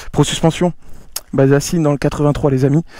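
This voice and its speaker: A man's voice with a dark, mellow tone. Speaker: motorcycle youtuber. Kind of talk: casual vlog talk to viewers. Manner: soft-spoken; animated.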